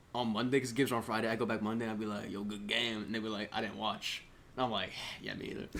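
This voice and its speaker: A man with an American accent, animated in tone, at a very fast pace over noticeable background noise. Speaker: podcast host. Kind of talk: casual chat.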